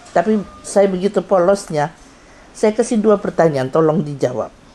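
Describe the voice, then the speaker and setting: Lively intonation marks a woman's speech, heard with noticeable background noise. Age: 70s. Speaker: doctor and karate instructor. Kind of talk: anniversary testimony speech.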